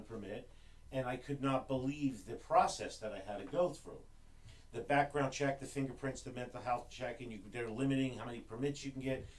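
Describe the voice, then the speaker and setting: A man with an American accent talks in a plain, everyday voice at medium pitch. His pace is fairly quick and his intonation fairly even. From New Jersey, Newark. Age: 60s. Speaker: gun range owner and gun rights activist. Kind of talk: podcast interview.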